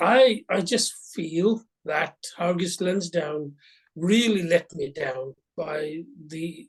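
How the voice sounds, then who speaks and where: A man's high-pitched voice at a very slow pace, with ordinary pitch variation. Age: 70s. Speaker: retail investor. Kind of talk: interview. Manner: halting.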